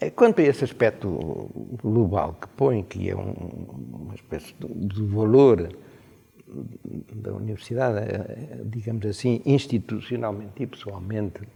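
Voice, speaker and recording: At a fairly slow pace, a man with a fairly low pitch and a dark, mellow tone speaks somewhat breathily, with ordinary pitch variation, long, frequent pauses and big swings in loudness. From Portugal, Coimbra. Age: 80s+. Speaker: retired university rector and law professor. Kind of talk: radio interview. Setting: university senate hall. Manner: hesitant, many fillers.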